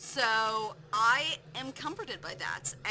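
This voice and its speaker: Noticeable background noise surrounds a woman whose voice is fairly high in pitch. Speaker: gaming streamer. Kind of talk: live game stream, reading questions aloud and answering.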